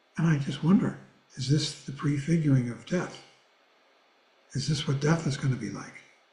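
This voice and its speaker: Speaking at a moderate pace, a man has a somewhat breathy voice with a dark, mellow tone. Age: 80s+. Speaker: Buddhist teacher. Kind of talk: reading aloud; class discussion.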